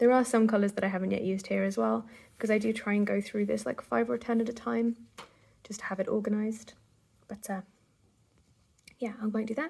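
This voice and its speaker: A woman with a dark, mellow, somewhat breathy tone speaks very fast with ordinary pitch variation. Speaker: craft vlogger. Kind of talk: casual vlog chat. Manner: hesitant with fillers.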